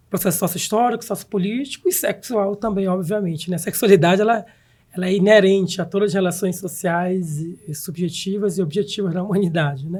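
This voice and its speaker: The speaker talks at a fairly quick pace with a Pará accent and ordinary pitch variation. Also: man, high pitch for a man. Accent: northern Brazilian (Pará). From northern Brazil, Belém do Pará (Amazon). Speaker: professor and researcher. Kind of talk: podcast interview.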